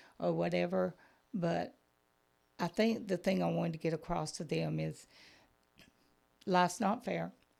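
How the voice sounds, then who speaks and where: A woman with a Southern US accent speaks at a moderate pace, leaving long, frequent pauses. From Georgia, US South. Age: 60s. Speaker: Sunday school teacher. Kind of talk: testimony.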